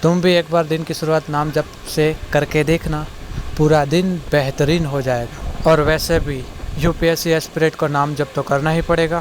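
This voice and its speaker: A man's fairly high, monotone, flat voice in a Gujarati accent, with noticeable background noise. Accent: Gujarati-accented Hindi. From India, Gujarat (Surat). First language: Gujarati (speaking Hindi). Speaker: civil services exam aspirant vlogger. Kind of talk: casual vlog narration, Hindi-English mix.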